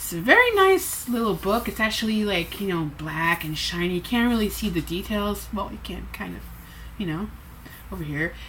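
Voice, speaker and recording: A woman with a slight French Canadian accent over noticeable background noise. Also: moderate pace. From Quebec, Montreal. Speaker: booktuber. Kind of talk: casual vlog. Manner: halting.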